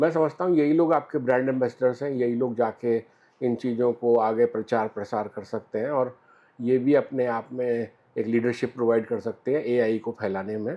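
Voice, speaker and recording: The delivery is a normal speaking voice, moving at a moderate pace with fairly even intonation. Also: man, medium pitch for a man. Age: 60s. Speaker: business owner, industry association vice president. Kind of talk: interview answer.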